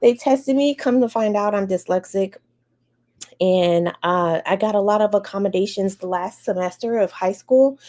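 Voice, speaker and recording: Speaking with an American accent, a woman uses a dark, mellow tone at a medium pitch, a moderate pace, and ordinary pitch variation. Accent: American; can switch on Bahamian. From Chicago area, US Midwest. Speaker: educator. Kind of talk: interview, personal story. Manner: conversational, some repetitions.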